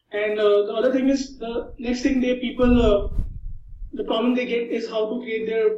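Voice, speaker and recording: In a room with audible echo, a man speaks at an extremely high pitch with a dark, mellow tone and monotone, flat intonation. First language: not English. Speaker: online marketer. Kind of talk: interview. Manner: halting.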